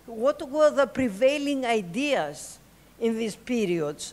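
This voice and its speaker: With a Greek accent, a woman speaks at a very slow pace. Her pitch swings very widely. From Greece. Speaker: political activist. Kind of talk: political speech. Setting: stage with audience. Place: hall. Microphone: podium.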